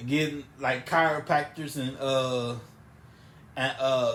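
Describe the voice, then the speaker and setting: A man speaks with monotone, flat intonation. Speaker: podcast co-host. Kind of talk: casual chat.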